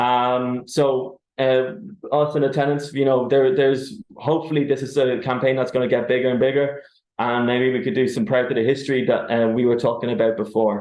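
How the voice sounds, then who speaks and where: At a fairly quick pace, a man speaks with an Irish accent in a medium pitch. His loudness stays very even, with ordinary pitch variation. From Ireland. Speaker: tenants union organiser. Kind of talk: webinar presentation.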